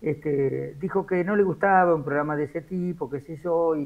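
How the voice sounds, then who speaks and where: A man with a fairly high pitch and ordinary pitch variation. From Argentina, Buenos Aires province (Cacharí). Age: 60s. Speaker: radio journalist. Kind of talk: interview. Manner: hesitant, with many fillers.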